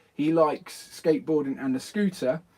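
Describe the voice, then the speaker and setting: Here a man talks with a southern English accent. His pace is fairly quick and his intonation lively. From southern England. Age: 40s. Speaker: skateboarding youtuber. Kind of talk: live stream chat. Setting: garden shed. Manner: animated.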